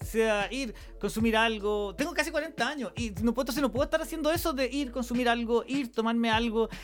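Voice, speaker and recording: Man with a Chilean accent, extremely high pitch and ordinary pitch variation, talking at a fairly quick pace with hardly any pauses over music in the background. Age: 30s. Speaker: podcaster. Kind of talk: personal monologue. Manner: halting.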